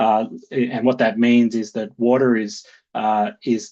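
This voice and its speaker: A man with an Australian accent and a medium pitch, against a quiet background. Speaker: conservation organization director. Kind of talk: webinar presentation. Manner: many fillers and repetitions.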